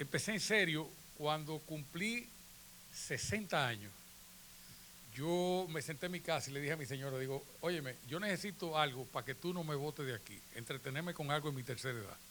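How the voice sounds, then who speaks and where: Heard with audible room echo, a man speaks at a moderate pace in a bright, sharp tone with lively intonation. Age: 70s. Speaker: photographer. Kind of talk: conference talk. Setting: auditorium with audience. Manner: conversational.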